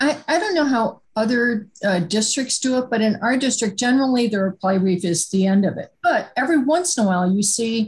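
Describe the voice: With few pauses and a fairly quick pace, a woman speaks at a fairly high pitch, her intonation lively and her voice carrying a slightly husky edge.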